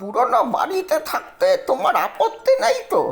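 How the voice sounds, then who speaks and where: A put-on character voice at a very slow pace over faint background music. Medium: read story. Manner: chatty, repetitive.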